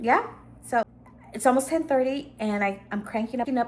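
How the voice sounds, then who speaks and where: A woman speaks in a somewhat breathy voice. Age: 50s. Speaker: lifestyle vlogger. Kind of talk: casual vlog chat.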